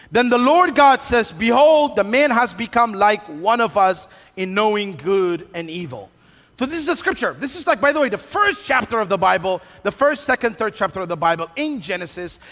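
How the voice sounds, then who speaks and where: Against noticeable background noise, a high-pitched man's voice makes very wide pitch swings. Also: moderate pace. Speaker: pastor. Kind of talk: sermon. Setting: church with live audience and band. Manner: conversational, humorous.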